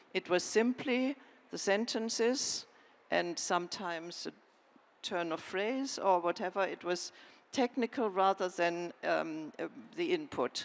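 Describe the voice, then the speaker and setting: In a slight German accent, a woman speaks at a fairly slow pace and medium pitch. The sound is dry and close, with no echo. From Germany. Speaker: historian and author. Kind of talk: panel discussion.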